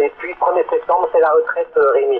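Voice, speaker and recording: A man speaks over noticeable background noise. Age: 60s. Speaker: CB radio operator. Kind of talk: casual radio chat. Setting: CB radio transmission.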